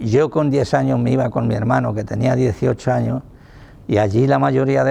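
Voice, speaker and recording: A man talks at a moderate pace in a fairly low voice with a dark, mellow tone. His pitch swings very widely, and vocal fry runs through it. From Spain, Toledo province (rural Castile-La Mancha). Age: 80s+. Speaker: retired factory worker. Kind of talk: oral history testimony.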